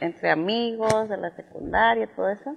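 A woman is speaking. Her pace is fairly slow. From Tamaulipas, Mexico (San Fernando). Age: 50s. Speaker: businesswoman and former beauty queen. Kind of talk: interview.

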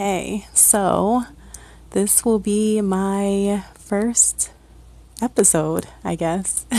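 A woman with a Midwestern US accent speaks at a very slow pace. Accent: US Midwest. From Ohio, Akron. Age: 30s. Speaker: podcaster. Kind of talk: personal monologue.

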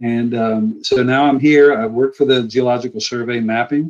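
In an American accent, a man talks at a moderate pace and medium pitch with an unremarkable speaking voice. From US Midwest, rural northwest central Ohio. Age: 60s. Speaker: retired geologist. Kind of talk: casual interview.

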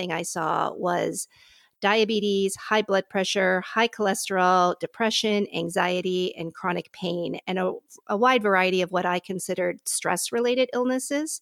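A woman with an ordinary speaking voice at medium pitch and moderate pace, in a dry, close sound with no echo. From US, Pittsburgh. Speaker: physician. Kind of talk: interview conversation. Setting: remote call from her living room.

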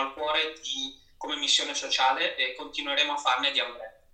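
Noticeable background noise and audible room echo behind a man speaking at a moderate pace in a fairly high voice. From Italy, Rimini (Emilia-Romagna). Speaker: marketing manager. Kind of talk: live interview. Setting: Instagram live stream.

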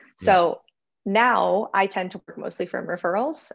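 A woman's voice with vocal fry and an American accent, at a moderate pace against a quiet background. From US. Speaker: freelancer. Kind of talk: casual interview.

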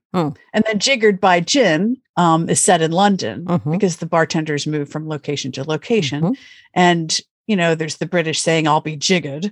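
A woman with an American accent and a normal speaking voice, fairly low pitch, ordinary pitch variation, fairly quick pace, and a dry, close sound with no echo against a quiet background. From US Northeast, Pennsylvania. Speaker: author. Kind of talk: interview.

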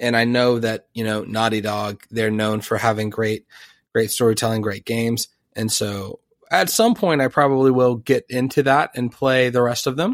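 A man with a normal speaking voice talks at a moderate pace and medium pitch, his intonation fairly even. The sound is dry and close with no echo, on a very clean recording with a silent background. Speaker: podcast host. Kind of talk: casual chat.

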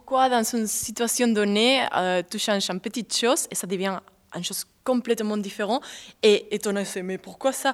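A woman's fairly high voice with a Spanish accent. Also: very clean recording, silent background. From southern Spain. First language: Spanish (speaking French). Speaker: dancer and choreographer. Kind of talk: interview.

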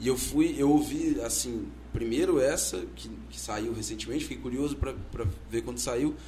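In a room with audible echo, a man speaks at a moderate pace, his loudness swinging widely. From Vitória, Espírito Santo. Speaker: podcast host. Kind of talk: casual chat.

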